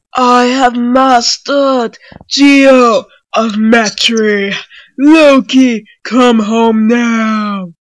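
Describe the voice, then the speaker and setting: A shouted, put-on character voice, fairly high in pitch and very slow. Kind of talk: comic overacting, archaic heroic speech. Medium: comedy sketch. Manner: loud, pompous, earnest.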